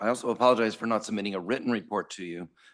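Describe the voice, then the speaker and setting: A man puts on a hoarse, raspy character voice at a medium pitch. He rattles along at a very fast pace with big swings in loudness. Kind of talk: formal meeting report.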